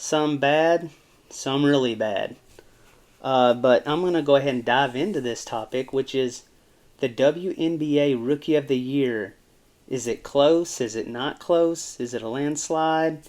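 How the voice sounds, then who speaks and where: At a fairly slow pace, a man with an American accent talks in a fairly high pitch with ordinary pitch variation. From US South. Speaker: sports commentator YouTuber. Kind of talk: casual sports commentary. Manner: casual, rambling with fillers.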